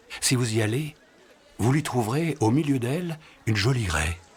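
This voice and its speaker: A man speaks over noticeable background noise. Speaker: voice-over narrator. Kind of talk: film voice-over reading a writer's own text.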